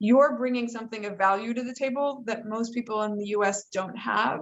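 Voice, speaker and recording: A woman with a plain, everyday voice and an American accent speaks fairly quickly at a fairly high pitch with fairly even intonation. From United States. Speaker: entrepreneur and author. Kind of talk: panel discussion.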